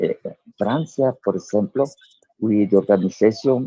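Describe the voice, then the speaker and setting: A man with a Spanish accent speaks at a fairly low pitch with a dark, mellow tone and ordinary pitch variation, the sound dry and close with no echo. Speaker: diplomat and author. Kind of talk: interview. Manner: halting.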